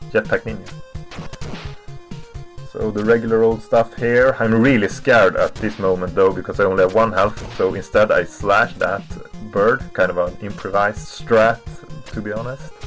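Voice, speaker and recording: Over music in the background, a man at medium pitch talks at a moderate pace with ordinary pitch variation and long, frequent pauses. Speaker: speedrunner, game commentator. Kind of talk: speedrun commentary over gameplay.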